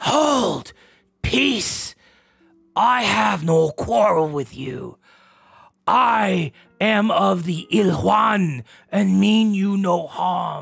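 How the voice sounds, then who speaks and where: A man puts on a raspy, high-pitched character voice with very wide pitch swings, speaking at a very slow pace with long, frequent pauses. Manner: formal, solemn, speaks as a collective "we".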